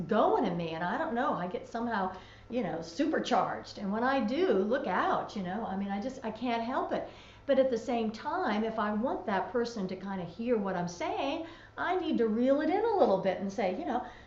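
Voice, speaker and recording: A woman with a high pitch and very wide pitch swings talks at a moderate pace, with audible room echo and noticeable background noise. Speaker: talk show co-host. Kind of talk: casual chat. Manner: loud.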